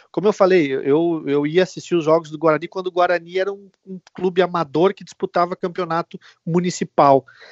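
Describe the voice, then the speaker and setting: The pitch of this man's voice is high. He moves along fairly quickly. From Rio Grande do Sul, Brazil (Venâncio Aires). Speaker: TV sports reporter, former youth footballer. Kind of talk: casual interview. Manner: halting, many fillers.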